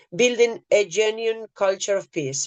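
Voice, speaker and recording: Speaking at a moderate pace, a woman talks with a Spanish accent. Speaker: peace activist. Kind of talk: prepared speech.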